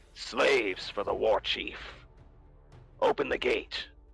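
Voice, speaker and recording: Music plays in the background as a man speaks in a put-on character voice at a fairly slow pace. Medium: actual play. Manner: curt, gruff.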